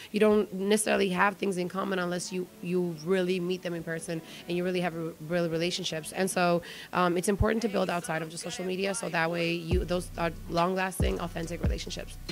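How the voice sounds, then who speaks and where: With music in the background, a speaker with an Albanian accent rushes along at a very fast pace in a monotone, flat intonation. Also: woman, fairly low pitch for a woman. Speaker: marketing and brand manager. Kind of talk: interview. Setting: event retreat.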